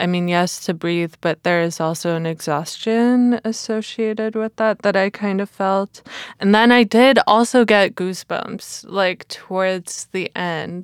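Using a plain, everyday voice, a woman at a medium pitch talks at a fairly slow pace with hardly any pauses and ordinary pitch variation, in a dry, close sound with no echo. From immigrant to Canada. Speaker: podcast host. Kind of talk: casual chat.

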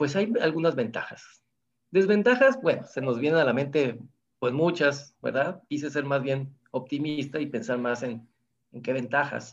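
A man speaks at a fairly slow pace with a fairly high pitch and ordinary pitch variation. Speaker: physics professor. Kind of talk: interview.

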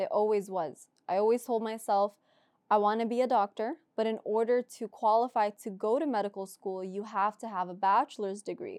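A woman with an American accent and a normal speaking voice, fairly high in pitch with ordinary pitch variation and a fairly quick pace, in a very clean recording with a silent background and a dry, close sound with no echo. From US South (Florida). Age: 20s. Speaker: podcast co-host, nursing graduate. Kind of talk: casual chat.

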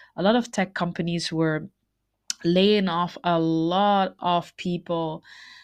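Against a quiet background, a woman speaks very slowly at a fairly low pitch with fairly even intonation. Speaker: podcast host. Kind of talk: solo podcast monologue. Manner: halting, many repetitions and fillers.

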